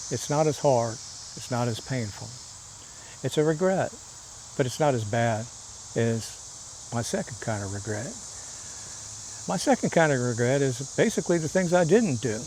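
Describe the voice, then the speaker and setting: A man's medium-pitched voice at a moderate pace, with long, frequent pauses and noticeable background noise. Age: 70s. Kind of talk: casual talk to camera.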